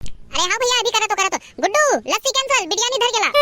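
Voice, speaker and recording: A woman rattles off lines at a very fast pace in a squeaky, cartoonish character voice, extremely high in pitch and very even in loudness. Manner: bossy, fast, rustic.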